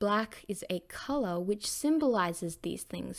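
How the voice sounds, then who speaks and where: A woman's unremarkable speaking voice, lively in intonation and fairly slow in pace. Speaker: teacher. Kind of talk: lesson.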